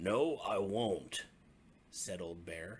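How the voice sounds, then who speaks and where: A raspy put-on character voice from a man. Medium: read story.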